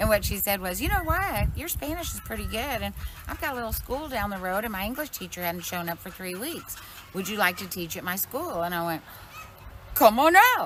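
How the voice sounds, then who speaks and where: Noticeable background noise runs beneath the speech. A woman with an American accent talks at a fairly quick pace. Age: 60s. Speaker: organic farmer. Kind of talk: casual interview. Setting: outdoors walking.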